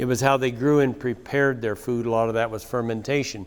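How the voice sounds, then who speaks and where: This is a normal speaking voice at a fairly quick pace. The recording is very clean, with a silent background. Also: man. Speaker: cattle rancher and conference speaker. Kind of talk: conference talk with slides.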